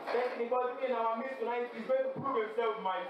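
A man's extremely high-pitched voice amid strong room echo and noticeable background noise. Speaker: campus fellowship prayer leader. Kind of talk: fervent congregational prayer and worship exhortation. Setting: university fellowship gathering with audience. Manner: urgent, rhythmic, repeating exhortations; fervent, exhorting. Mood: earnest, reverent. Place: hall.

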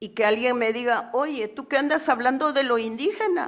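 Against a quiet background, a woman with a high voice talks at a fairly slow pace with ordinary pitch variation. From Peru, Andes (Quechua Chanca); Peru. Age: 70s. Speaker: panelist. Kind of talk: conference talk. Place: hall. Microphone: podium.

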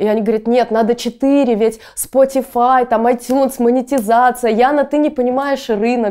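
The tone is dark and mellow, with monotone, flat intonation and very even loudness. The pace is moderate with hardly any pauses, over a quiet background. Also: woman, high pitch for a woman. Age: 20s. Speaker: electronic musician. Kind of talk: interview. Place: studio. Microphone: lapel.

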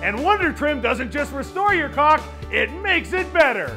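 A man talks at a moderate pace while clear music plays behind him. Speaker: infomercial host. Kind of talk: TV infomercial product demo. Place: studio.

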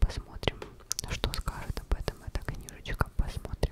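Someone whispers at a fairly slow pace. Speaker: book reviewer. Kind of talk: casual vlog chat. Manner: very close ASMR whisper. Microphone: phone near.

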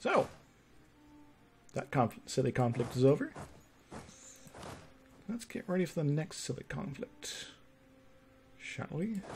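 Over music in the background, a man with a fairly high voice speaks at a fairly slow pace with long, frequent pauses. His pitch swings very widely. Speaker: game streamer. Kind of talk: casual gameplay commentary. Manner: mumbly at times.

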